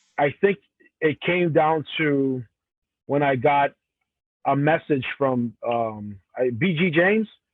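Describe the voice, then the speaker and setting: A man with a fairly high pitch and ordinary pitch variation talks at a very slow pace, leaving long, frequent pauses. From Cameroon. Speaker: professional wrestler. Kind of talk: interview. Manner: halting.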